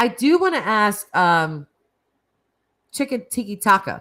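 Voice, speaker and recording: A woman with an American accent speaks in an animated tone at a fairly slow pace, her pitch swinging very widely, on a very clean recording with a silent background. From US Northeast. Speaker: streamer. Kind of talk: casual chat. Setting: live stream.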